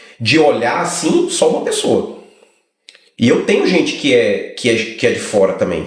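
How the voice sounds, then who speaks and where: A man with a strong Brazilian accent speaks at a moderate pace, leaving long, frequent pauses. Audible room echo surrounds his voice. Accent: heavy Brazilian accent in English. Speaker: lawyer. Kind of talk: casual chat.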